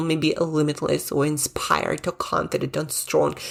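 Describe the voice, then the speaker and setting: On a very clean recording with a silent background, a woman with a non-native accent talks at a moderate pace. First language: not English. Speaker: podcast host and brain coach. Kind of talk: motivational podcast monologue. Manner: casual, conversational.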